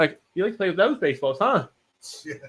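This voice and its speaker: Very wide pitch swings from a man's raised, projected voice. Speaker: podcast host. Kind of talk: casual podcast conversation.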